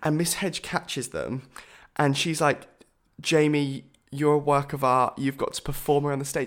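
A man with a southern English accent, moderate pace and flat, monotone intonation. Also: fairly high pitch for a man. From southern England (Bournemouth). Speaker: podcast co-host, musical theatre performer. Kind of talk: casual chat.

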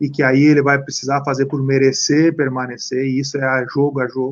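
With a fairly high pitch, this man's talking proceeds at a moderate pace. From Santa Catarina, Brazil. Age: 40s. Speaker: former footballer and coach. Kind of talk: interview. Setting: live stream. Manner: talkative.

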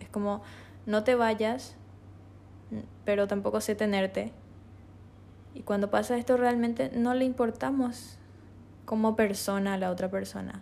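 Spoken with a Paraguayan accent at a fairly slow pace, the speech is broken by long, frequent pauses. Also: woman, big swings in loudness. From Paraguay, Asunción. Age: 20s. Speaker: podcast host, illustrator and tourism student. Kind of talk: solo reflective monologue.

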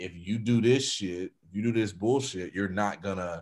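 A man with a fairly low voice is heard on a very clean recording, the background silent. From Florida, US South. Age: 30s. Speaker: rapper and producer. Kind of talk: casual chat. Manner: animated.

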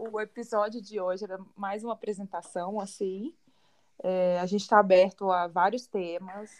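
A woman speaks at a moderate pace and medium pitch in an unremarkable speaking voice. Her intonation stays fairly even. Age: 20s. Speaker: podcast co-host, model. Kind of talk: casual chat.

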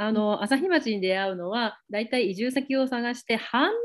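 This woman's high-pitched voice moves along at a moderate pace. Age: 30s. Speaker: relocation advisor. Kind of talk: casual interview. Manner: frequent fillers and laughter.

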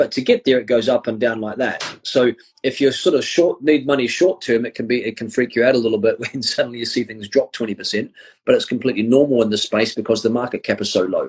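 With a New Zealand accent, a man talks at a very fast pace, his medium pitch held in fairly even intonation. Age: 40s. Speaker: crypto and finance educator. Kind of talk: interview on a live stream.

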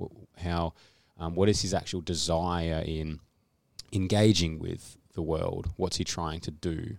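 A man with an Australian accent, very deep and low, flat and monotone at a fairly slow pace, on a very clean recording with a silent background. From Australia, Canberra. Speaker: trainee church planter. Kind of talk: podcast interview. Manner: halting.

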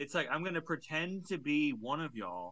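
Bright and sharp in tone, a man's voice sits at a fairly high pitch. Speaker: podcast co-host. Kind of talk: casual comedic banter, crude.

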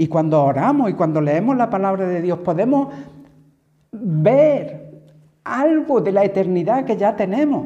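A high-pitched man at a fairly slow pace, his pitch swinging very widely, with audible room echo. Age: 60s. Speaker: preacher. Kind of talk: sermon.

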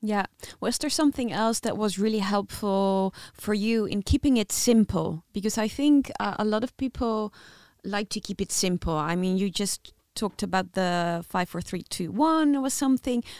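A woman speaks at medium pitch and a moderate pace with lively intonation. The recording is very clean, with a silent background and a dry, close sound with no echo. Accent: Dutch. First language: Dutch. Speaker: podcast co-host. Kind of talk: interview.

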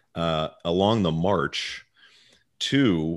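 A man with an American accent, very deep and low in pitch with ordinary variation and vocal fry, over a quiet background. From Baltimore, US. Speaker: podcast host. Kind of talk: casual discussion podcast. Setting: remote recording, hosts in different cities. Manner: joking, casual.

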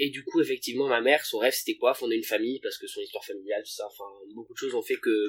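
A man is talking here. He speaks at a very fast pace. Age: 20s. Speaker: podcast guest, friend of host. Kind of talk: casual chat.

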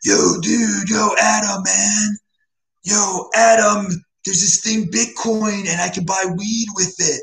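A man puts on a character voice pitched high. He delivers it at a fairly slow pace. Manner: slow, lazy, dazed.

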